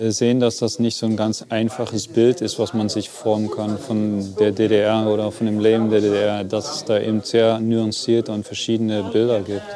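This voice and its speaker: Noticeable background noise sits behind a man with a fairly low pitch. He speaks at a fairly slow pace in a monotone, flat intonation. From East Germany, Upper Lusatia. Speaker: contemporary witness, former East German emigrant. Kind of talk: interview.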